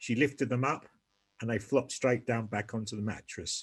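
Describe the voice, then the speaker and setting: A somewhat breathy man with a British accent, medium pitch, ordinary pitch variation and a moderate pace. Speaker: polio survivor. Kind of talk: testimony. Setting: video call. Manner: halting, pausing for breath.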